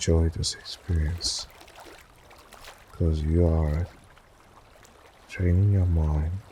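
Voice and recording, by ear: Slow and soothing, a man with a low, slightly mellow voice speaks in a calm tone, with vocal fry and a husky, rough edge.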